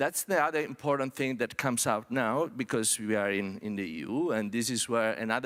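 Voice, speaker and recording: This man speaks at a medium pitch with ordinary pitch variation. The recording is very clean, with a silent background. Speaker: UN technology official, panelist. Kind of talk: conference panel presentation. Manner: fast; halting, many repetitions and fillers.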